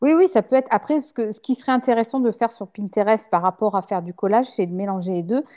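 Against a quiet background, a woman with a dark, mellow tone talks very fast with hardly any pauses and big swings in loudness, the sound dry and close with no echo. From western France, La Rochelle. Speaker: interior decorator. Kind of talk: interview. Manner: hesitant, many fillers.

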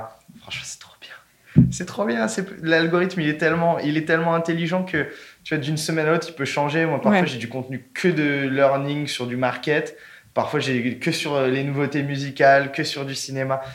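Recorded with audible room echo, a man with a fairly high pitch talks at a moderate pace, his intonation fairly even but his loudness swinging widely. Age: 20s. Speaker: brand content manager. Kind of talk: casual interview chat. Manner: casual, hesitant with repetitions.

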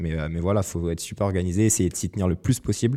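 Over a very clean recording with a silent background, a man speaks in a very deep, low voice with a dark, mellow tone and fairly even intonation. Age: 20s. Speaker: student entrepreneur. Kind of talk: interview.

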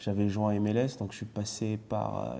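A dark, mellow tone at a fairly slow pace. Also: man. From France. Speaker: retired footballer and TV pundit. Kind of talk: casual interview.

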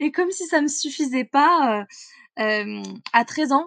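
A woman's high-pitched voice, dry and close with no echo, against a quiet background. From central France (Corrèze). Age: 20s. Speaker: mental performance coach. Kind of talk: interview conversation.

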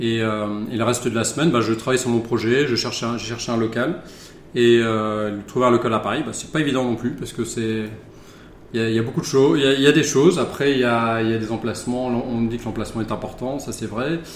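Audible room echo surrounds a man talking at a very fast pace with fairly even intonation. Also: medium pitch for a man. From Charente, western France. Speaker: wine bar owner. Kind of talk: casual interview. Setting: in a wine bar. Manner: halting.

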